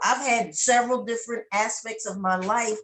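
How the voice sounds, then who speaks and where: Fairly high in pitch with ordinary pitch variation, a woman talks in an unremarkable speaking voice. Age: 60s. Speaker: network marketing member, military veteran. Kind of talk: testimony interview.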